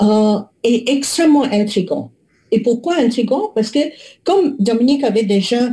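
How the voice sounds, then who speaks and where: A woman with a high pitch and a dark, mellow tone, lively intonation, very even loudness, a fairly slow pace and long, frequent pauses. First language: not French (speaking French). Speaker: public health researcher. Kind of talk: webinar presentation. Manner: halting, many hesitations.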